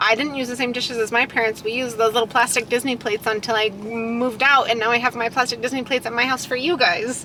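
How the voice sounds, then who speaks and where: Over noticeable background noise, a woman with a New Mexico accent talks at a very fast pace in a high pitch, with fairly even intonation and hardly any pauses. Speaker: channel host, mother. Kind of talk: casual chat. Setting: in a car.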